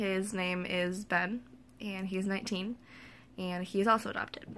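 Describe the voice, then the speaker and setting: A woman speaks at a moderate pace with a medium pitch and a bright, sharp tone. Her intonation is fairly even, and the recording is very clean with a silent background. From US Midwest, eastern Iowa. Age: 20s. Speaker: vlogger. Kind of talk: personal vlog. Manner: hesitant, many fillers.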